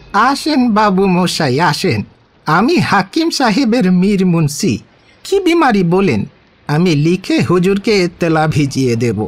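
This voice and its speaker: A man's put-on character voice, high-pitched, with very wide pitch swings and a fairly slow pace. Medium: audio drama. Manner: fawning and mercenary.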